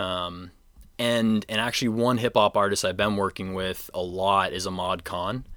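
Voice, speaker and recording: In a very clean recording with a silent background, a man with a normal speaking voice and a fairly low pitch speaks at a moderate pace. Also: fairly even intonation. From Maine, US. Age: 20s. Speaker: DJ and music producer. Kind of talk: casual chat.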